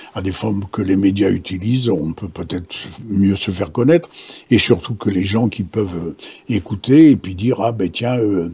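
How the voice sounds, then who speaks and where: The speaker is a man with a fairly low pitch. His voice is somewhat breathy and shows ordinary pitch variation. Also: moderate pace. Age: 80s+. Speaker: martial arts master. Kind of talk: interview answer. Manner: hesitant, repetitive.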